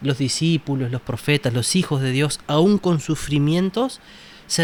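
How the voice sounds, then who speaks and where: A fairly high-pitched man in a Uruguayan accent talks at a fairly slow pace with ordinary pitch variation. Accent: Rioplatense Spanish (Uruguayan). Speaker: Bible study panelist. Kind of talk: Bible study discussion.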